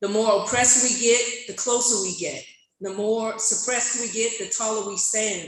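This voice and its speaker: A woman speaks at a moderate pace with a fairly high pitch. Her intonation is monotone and flat, with audible room echo. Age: 60s. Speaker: community member at public comment. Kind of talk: public comment speech. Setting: public meeting, speaking at a microphone. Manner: impassioned.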